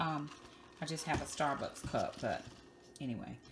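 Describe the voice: Speaking at a moderate pace, a woman uses an extremely low pitch with lively intonation.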